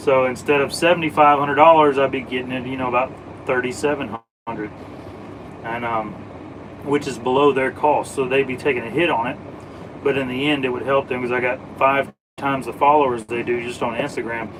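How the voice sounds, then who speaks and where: With an American accent, a man talks at a fairly quick pace using fairly even intonation. His speech is broken by long, frequent pauses. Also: medium pitch for a man. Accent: Southern, slight, stronger when drinking. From US South. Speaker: automotive live streamer. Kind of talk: casual live stream chat. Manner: casual.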